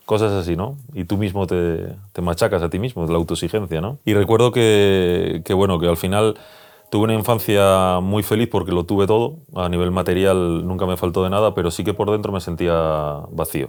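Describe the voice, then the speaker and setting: This man's voice sits very deep and low. He talks at a moderate pace with ordinary pitch variation. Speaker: youtuber and former ambulance worker. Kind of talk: personal interview conversation. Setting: cabin in the countryside.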